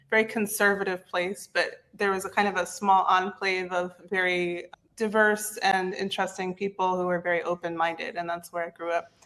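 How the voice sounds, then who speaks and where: Against noticeable background noise, a woman with an American accent speaks at medium pitch and a moderate pace, with monotone, flat intonation and hardly any pauses. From US East Coast, West Virginia. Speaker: content repurposing specialist. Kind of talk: interview.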